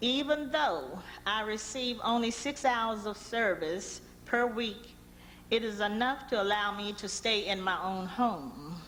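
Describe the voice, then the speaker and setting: Audible room echo surrounds a woman with an American accent who speaks fairly slowly at a fairly high pitch with ordinary pitch variation. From Washington DC. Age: 60s. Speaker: public hearing witness, senior citizen. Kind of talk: public testimony. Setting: budget hearing room. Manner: reading a prepared statement.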